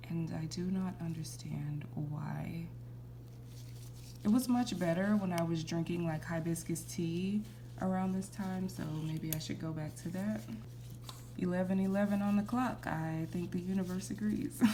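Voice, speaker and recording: Room echo is clearly audible as a woman speaks at a fairly slow pace. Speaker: nail artist. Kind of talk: tutorial. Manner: casual, chatty.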